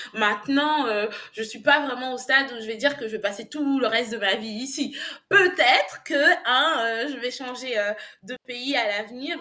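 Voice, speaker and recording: A woman speaks at a moderate pace with a high pitch. Her loudness swings widely, while her pitch varies in an ordinary way. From Côte d'Ivoire and France. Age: young. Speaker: English business language coach. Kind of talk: interview.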